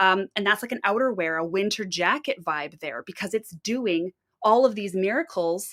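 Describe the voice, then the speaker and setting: A woman with a Canadian accent speaks at a medium pitch and moderate pace, animated and with lively intonation. The sound is dry and close, without echo. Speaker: fiber arts livestreamer, spinner. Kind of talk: live stream tutorial chat.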